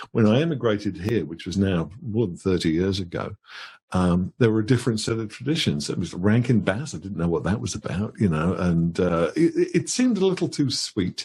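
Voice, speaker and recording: A man's somewhat breathy, fairly low voice with a dark, mellow tone, lively intonation and a fairly quick pace. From England, Birmingham. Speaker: author. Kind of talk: interview. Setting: live stream.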